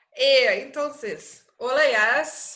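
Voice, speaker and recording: A woman is speaking. She has a Portuguese accent. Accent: Portuguese-tinged Spanish. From Germany. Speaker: researcher and political advisor. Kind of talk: interview conversation. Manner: halting, many fillers.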